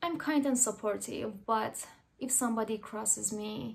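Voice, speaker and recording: A woman speaks at a moderate pace with a fairly high pitch and an Iranian accent. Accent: Iranian (Persian) accent in English. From Iran, Tehran. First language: Persian. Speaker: artist. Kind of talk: personal narration.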